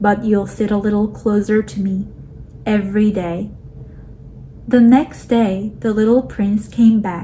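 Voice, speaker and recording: Noticeable background noise sits under a woman's voice. She speaks fairly slowly at medium pitch, with monotone, flat intonation. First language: not English. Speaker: audiobook reader. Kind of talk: reading aloud.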